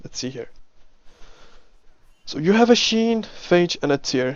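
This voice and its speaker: Lively intonation marks this man's speech in a non-native accent. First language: not English. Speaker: game coach and commentator. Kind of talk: replay commentary and coaching. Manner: casual, halting with self-corrections.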